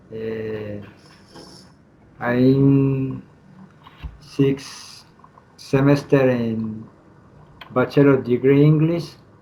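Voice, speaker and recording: Over noticeable background noise, a man talks at a very slow pace. He leaves long, frequent pauses. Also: medium pitch for a man, fairly even intonation. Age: 40s. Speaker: English student. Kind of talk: self-presentation in class. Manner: halting, hesitant.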